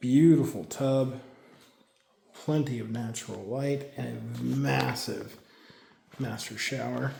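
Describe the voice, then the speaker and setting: A soft-spoken man, very slow pace, long and frequent pauses, noticeable background noise and audible room echo. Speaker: realtor. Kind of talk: property walkthrough tour.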